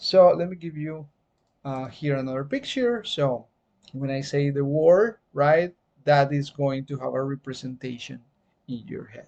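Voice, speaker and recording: The speaker talks at a fairly slow pace in a Spanish accent. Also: quiet background. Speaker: teacher. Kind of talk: lecture. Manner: hesitant, many fillers.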